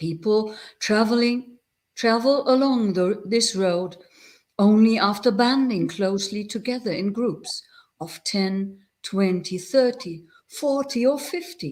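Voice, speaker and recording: A woman speaks with a fairly high pitch and lively intonation. Her pace is fairly slow. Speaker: Buddhist nun and abbot. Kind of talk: reading aloud.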